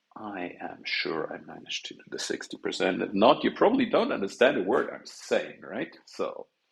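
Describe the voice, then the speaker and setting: A man with a non-native accent at a moderate pace, hardly any pauses and big swings in loudness. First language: not English. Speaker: game developer live streamer. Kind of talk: live coding stream chat. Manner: casual rambling, animated.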